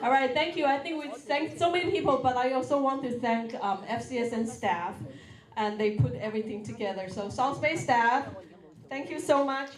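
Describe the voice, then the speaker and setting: Amid audible room echo and noticeable background noise, a woman talks at a fairly quick pace in a high pitch with lively intonation. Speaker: nonprofit program director. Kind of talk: ceremony speech.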